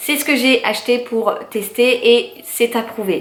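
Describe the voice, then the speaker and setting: There is noticeable background noise as a woman speaks in a fairly high pitch. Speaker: lifestyle youtuber. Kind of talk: shopping haul monologue. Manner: hesitant, many fillers.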